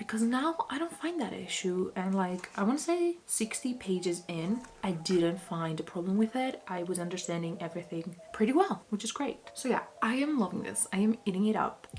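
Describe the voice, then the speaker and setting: A woman with a medium pitch talks at a moderate pace with lively intonation and hardly any pauses, over noticeable background noise. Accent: non-native. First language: not English. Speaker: book vlogger. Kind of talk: casual vlog talk. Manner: chatty, casual.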